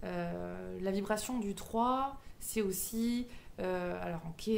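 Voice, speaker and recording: A woman with a southwestern French accent, medium-pitched, amid noticeable background noise and audible room echo. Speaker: medium and numerologist. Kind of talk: spiritual teaching monologue. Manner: hesitant, many fillers.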